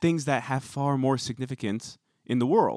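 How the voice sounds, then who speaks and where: An ordinary speaking voice from a man of medium pitch, with an American accent, a moderate pace and ordinary pitch variation. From US West Coast, Bay Area. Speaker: podcast co-host. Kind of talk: casual chat. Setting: remote call.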